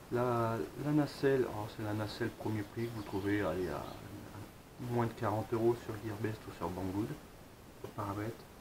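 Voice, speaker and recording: A man with a Picard accent speaks at a moderate pace and fairly low pitch, with long, frequent pauses. Noticeable background noise runs underneath. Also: ordinary pitch variation. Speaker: drone hobbyist. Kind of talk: product review talk to camera. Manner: casual, many fillers.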